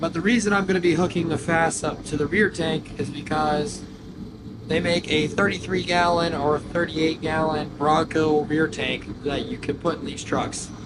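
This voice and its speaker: A man at a moderate pace, fairly even in intonation, with noticeable background noise behind him. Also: fairly high pitch for a man. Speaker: diesel truck youtuber. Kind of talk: DIY tutorial vlog. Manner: casual, filler-heavy.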